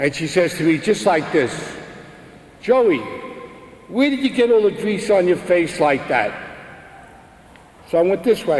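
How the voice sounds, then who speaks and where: A man with a Brooklyn accent, high-pitched and swinging very widely in pitch, at a fairly slow pace with long, frequent pauses, amid noticeable background noise. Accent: Brooklyn New York. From US Northeast, Brooklyn, New York. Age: 60s. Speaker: religious speaker giving testimony. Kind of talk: testimony.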